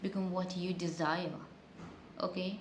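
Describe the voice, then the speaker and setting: The woman's voice sits at a medium pitch, and her pace is moderate. Noticeable background noise and audible room echo fill the recording. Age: 20s. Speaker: beauty vlogger. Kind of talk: casual get-ready-with-me storytime. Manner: halting, stuttering.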